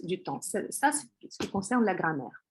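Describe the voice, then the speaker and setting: A woman in a Russian accent, medium in pitch. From Russia, Moscow. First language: Russian (speaking French). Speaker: Russian language teacher. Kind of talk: course presentation. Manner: hesitant, many fillers.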